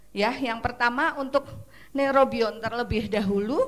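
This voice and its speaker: A woman's high, shrill voice with ordinary pitch variation. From Central Java, Purwokerto. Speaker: pharmaceutical product presenter. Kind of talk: product presentation at seminar. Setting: seminar with audience.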